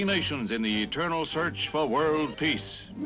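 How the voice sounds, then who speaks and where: A man talks with lively intonation at a fairly high pitch for a man. Music plays in the background. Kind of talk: newsreel narration.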